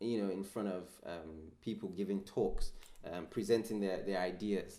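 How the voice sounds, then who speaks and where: Audible room echo surrounds a man with a fairly low pitch. His tone is dark and mellow, his intonation fairly even. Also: moderate pace. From Birmingham, England. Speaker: podcast host. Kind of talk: podcast interview. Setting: video call.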